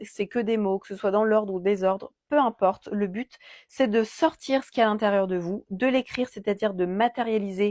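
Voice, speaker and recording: Speaking at a moderate pace with hardly any pauses and ordinary pitch variation, a woman comes through in a very clean recording with a silent background and a dry, close sound with no echo. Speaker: card reader and energy healer. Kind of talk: oracle card reading guidance.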